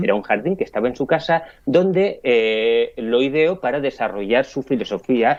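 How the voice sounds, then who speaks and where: Lively intonation, a moderate pace and medium pitch in a man's unremarkable speaking voice. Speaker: philosophy columnist. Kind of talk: radio philosophy talk.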